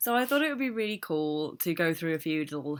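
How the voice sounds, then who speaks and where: On a very clean recording with a silent background, a woman with a very deep, low pitch speaks with lively intonation. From England, Midlands. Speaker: travel blogger. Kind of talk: casual talk to camera. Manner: excited, upbeat.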